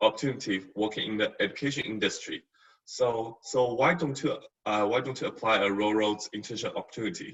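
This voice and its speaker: A man with a Chinese accent at a moderate pace. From China. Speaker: university staff, former international student. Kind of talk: webinar testimony. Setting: online webinar. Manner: halting, many fillers and repeats.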